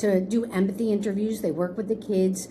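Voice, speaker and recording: A woman with an American accent speaks at a medium pitch, with audible room echo and noticeable background noise. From New York, Hudson Valley (Kingston). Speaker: school leader in special education. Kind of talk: interview conversation. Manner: fast.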